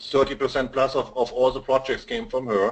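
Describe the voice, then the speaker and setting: Speaking with a German accent, a man talks at a moderate pace and a fairly high pitch. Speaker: digital marketing consultant. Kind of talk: webinar interview. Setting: online webinar. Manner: halting, many fillers.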